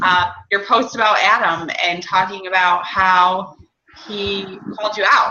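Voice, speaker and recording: Audible room echo surrounds a woman speaking at a fairly slow pace. Her medium-pitched voice has monotone, flat intonation. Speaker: fitness coach team leader. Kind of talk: team coaching call. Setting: recorded group call.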